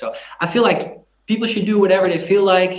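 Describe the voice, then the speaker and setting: A Dutch-accented male speaker. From Netherlands, Groningen. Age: 20s. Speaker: singer and YouTuber. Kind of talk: interview. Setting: video call.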